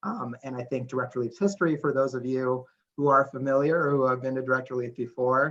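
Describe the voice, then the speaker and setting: A man talks very fast with an American accent. His pitch is medium and his intonation fairly even. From California, Santa Barbara. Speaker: nonprofit staff presenter. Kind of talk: presentation.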